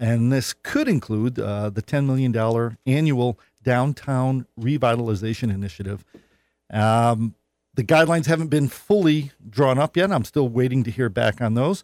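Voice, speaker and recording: On a very clean recording with a silent background and a dry, close sound with no echo, a man with an American accent talks in a plain, everyday voice at medium pitch, with ordinary pitch variation and a moderate pace. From New York North Country. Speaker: state senator. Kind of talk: radio interview. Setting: studio.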